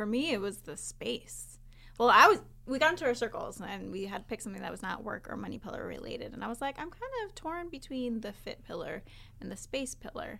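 Her loudness swings widely as the woman talks at a fairly quick pace. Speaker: mastermind participant. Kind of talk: casual chat.

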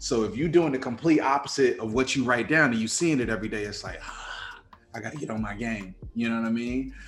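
A man talks fairly quickly amid audible room echo, with music in the background. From Chicago, US. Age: 40s. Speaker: film producer and actor. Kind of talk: casual interview. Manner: hesitant with many fillers.

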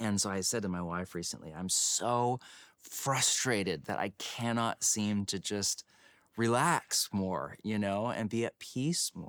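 A man with an unremarkable speaking voice at a fairly slow pace, ordinary pitch variation, and a dry, close sound with no echo on a very clean recording with a silent background. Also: fairly low pitch for a man. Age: 40s. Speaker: pastor and author. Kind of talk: casual chat.

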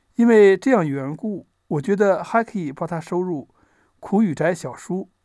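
Pitched high, a man's voice has a dark, mellow tone and lively intonation at a fairly slow pace. The recording is very clean, with a silent background. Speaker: audiobook narrator. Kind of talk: literary audiobook reading, essay preface read aloud in a measured, reflective way. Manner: measured; formal.

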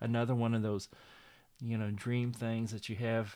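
A man speaks at a fairly low pitch. His intonation is monotone and flat on a very clean recording with a silent background. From northeastern Oklahoma (Miami). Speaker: actor and retired architect. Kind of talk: interview. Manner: youthful-sounding; hesitant, many fillers.

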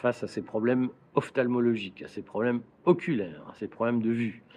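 A man talks in a plain, everyday voice, medium in pitch and moderate in pace. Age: 50s. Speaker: political commentator and business owner. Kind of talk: explanatory monologue to camera. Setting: outdoors in a garden.

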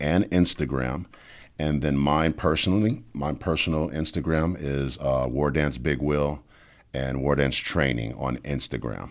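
A man's very deep, low voice with a New Orleans accent, fairly slow and with ordinary pitch variation, on a very clean recording with a silent background. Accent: New Orleans Southern US. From US South, New Orleans. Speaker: life coach and former MMA fighter. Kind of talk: casual chat.

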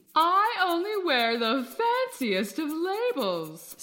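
At a fairly slow pace, a woman speaks at a high pitch with very wide pitch swings. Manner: snooty, bossy.

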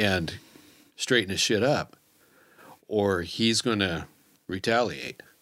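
Very slowly, a man speaks at a fairly low pitch. His tone is bright and sharp, and his pitch varies in an ordinary way. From Kansas City, US Midwest. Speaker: trapper. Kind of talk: casual chat. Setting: studio.

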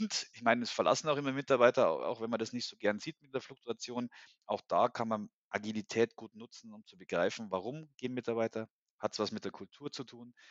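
A man's normal speaking voice, medium in pitch with ordinary pitch variation, fairly quick, with big swings in loudness. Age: 40s. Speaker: HR consultant and agile coach. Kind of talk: casual interview.

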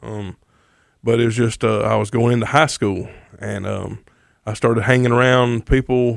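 On a very clean recording with a silent background, a man with a Mississippi accent talks at medium pitch and moderate pace, with fairly even intonation. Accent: US Southern (Mississippi). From Mississippi, North Jones County. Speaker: recovery ministry leader. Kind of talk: testimony.

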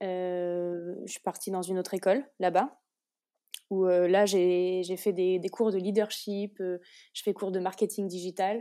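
Very slow female speech with a dark, mellow tone and monotone, flat intonation, on a very clean recording with a silent background. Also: medium pitch for a woman. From France, Orléans. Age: 20s. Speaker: business school graduate, master's student. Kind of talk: interview. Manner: hesitant, many fillers.

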